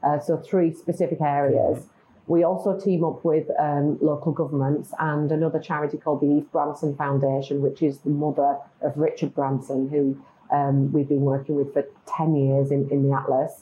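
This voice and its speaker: With a British accent, the speaker goes at a moderate pace in a flat, monotone intonation. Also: woman, very deep, low pitch for a woman. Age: 50s. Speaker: marketing agency founder. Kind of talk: interview conversation.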